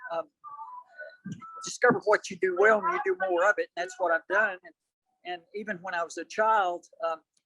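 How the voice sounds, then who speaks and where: With a Southern US accent, a raised, projected voice with a bright, sharp tone comes at a moderate pace with ordinary pitch variation, the sound dry and close with no echo. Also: man. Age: 70s. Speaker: ultramarathon runner. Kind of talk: interview.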